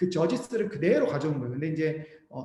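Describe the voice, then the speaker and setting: A man talks very fast with lively intonation, his voice carrying audible room echo amid noticeable background noise. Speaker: missionary and seminary professor teaching Bible Indonesian. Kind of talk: lecture.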